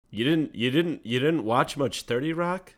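On a very clean recording with a silent background, a man with a normal speaking voice talks at a moderate pace, his fairly high pitch carrying lively intonation. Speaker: podcast host. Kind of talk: casual comedic banter. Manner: joking, playful.

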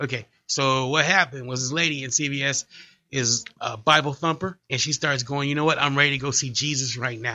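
A man talks at a fairly quick pace in a normal speaking voice. His pitch is fairly high, and his intonation is fairly even. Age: 40s. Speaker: comedian. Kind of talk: casual chat. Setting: studio.

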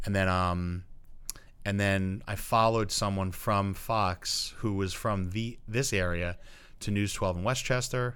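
Speaking with an American accent, a man uses a fairly low pitch and fairly even intonation. His pace is fairly slow, and the room echo is audible. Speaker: high school English teacher. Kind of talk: casual interview. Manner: loud.

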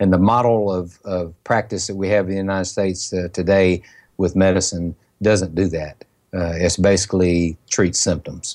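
In a Southern US accent, a man talks with very deep, low pitch. His intonation is monotone and flat, and his pace is moderate. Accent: Southern US, country. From Mississippi, US South. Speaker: pharmacist. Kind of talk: interview. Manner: soft-spoken; emotional, passionate.

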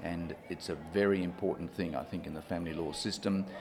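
In audible room echo, a man with a very deep, low pitch speaks with fairly even intonation. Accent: Australian. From rural Western Australia. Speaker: retired judge and family law mediator. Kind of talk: interview. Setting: conference.

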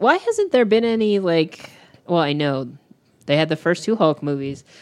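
The speaker keeps a moderate pace, broken by long, frequent pauses. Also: woman. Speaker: podcast co-host. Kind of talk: casual chat. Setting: home dining room table.

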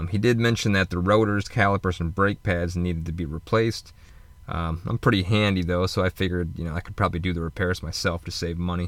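Talking at a very fast pace, a man uses a very deep, low pitch and fairly even intonation. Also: very clean recording, silent background. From Michigan, US Midwest. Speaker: podcaster and van-life vlogger. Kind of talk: casual solo monologue.

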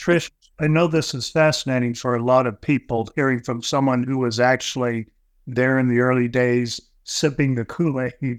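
A man at medium pitch and a moderate pace, with fairly even intonation and an unremarkable speaking voice. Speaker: podcast co-host. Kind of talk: casual chat. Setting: video call.

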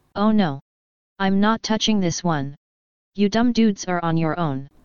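A raspy, put-on character voice, female-sounding at a medium pitch for a woman, at a moderate pace

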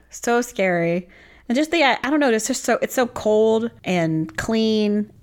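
A woman with a plain, everyday voice speaks at a fairly high pitch with lively intonation and a fairly slow pace. The recording is very clean, with a silent background. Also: very even loudness. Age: 30s. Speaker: podcast co-host. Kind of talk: casual chat.

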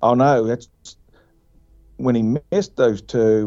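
A man at a moderate pace with ordinary pitch variation, music in the background. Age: 40s. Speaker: hunter. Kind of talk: casual chat. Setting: in a truck.

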